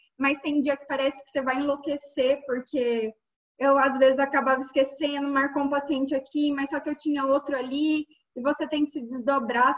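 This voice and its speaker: A woman's high voice holds a monotone, flat intonation at a moderate pace. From Minas Gerais, Brazil. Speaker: endodontist and podcast host. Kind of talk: casual chat.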